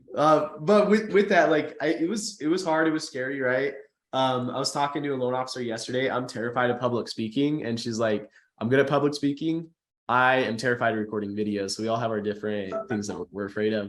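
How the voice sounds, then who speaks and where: The man talks at a very fast pace at a medium pitch. His intonation is lively. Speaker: social media marketing trainer for loan officers. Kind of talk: webinar presentation.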